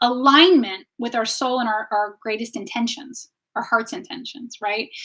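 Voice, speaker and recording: Lively intonation and an animated tone mark this woman's high-pitched voice as she speaks at a moderate pace. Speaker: wellness teacher and tarot reader. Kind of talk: live stream talk. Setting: live stream on social media. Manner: loud.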